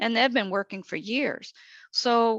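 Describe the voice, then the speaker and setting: A woman speaks at a moderate pace with vocal fry. The sound is dry and close with no echo, over a quiet background. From New England. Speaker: government agency administrator. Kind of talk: webinar presentation.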